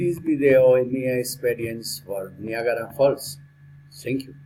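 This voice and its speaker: This man has a medium pitch and a dark, mellow, somewhat breathy tone. He talks at a fairly slow pace with fairly even intonation and big swings in loudness. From Colombia. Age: 60s. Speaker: lawyer and language student. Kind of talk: prepared speaking exercise. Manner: halting.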